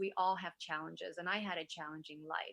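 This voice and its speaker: A woman with a Vietnamese accent talks in a bright, sharp tone with fairly even intonation, on a very clean recording with a silent background. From Vietnam, moved to US at nine. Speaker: wellness influencer and entrepreneur. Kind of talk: interview conversation.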